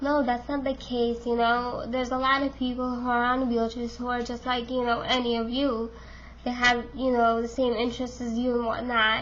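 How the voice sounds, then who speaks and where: At a moderate pace, the speech has monotone, flat intonation and audible room echo. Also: woman, high pitch for a woman. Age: 20s. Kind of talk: casual vlog monologue. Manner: hesitant, many fillers.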